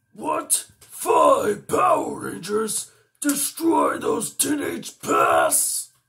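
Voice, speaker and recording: Spoken at a very slow pace, this is a put-on character voice. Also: man, extremely high pitch for a man. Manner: menacing, strong, tough.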